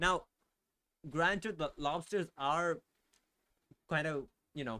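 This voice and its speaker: This bright, sharp voice speaks very slowly in a non-native accent, with ordinary pitch variation. The recording is very clean against a silent background. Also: man, fairly high pitch for a man. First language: not English. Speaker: vtuber streamer. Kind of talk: casual live stream chat. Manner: animated, emphatic; halting, filler-heavy.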